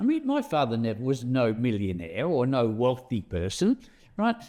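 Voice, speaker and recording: His tempo is moderate. This man talks with an Australian accent. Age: 70s. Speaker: interviewer, bullion dealer. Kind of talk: interview. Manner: halting.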